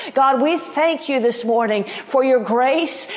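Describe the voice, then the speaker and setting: A woman's high voice at a fairly slow pace, amid noticeable background noise. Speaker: pastor. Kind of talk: fervent prophetic prayer, pleading intercession addressed to God. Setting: online broadcast. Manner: impassioned, repetitive pleading cadence building in intensity; warm, chatty and upbeat when addressing viewers.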